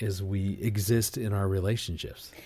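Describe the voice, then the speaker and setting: A man with a plain, everyday voice, fairly low in pitch, at a moderate pace, on a very clean recording with a silent background. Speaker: marriage ministry leader. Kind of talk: casual chat.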